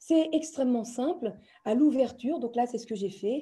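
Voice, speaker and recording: With a high pitch and lively intonation, a woman speaks in a dark, mellow tone. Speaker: trainer in educational software. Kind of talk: webinar tutorial. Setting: online video session.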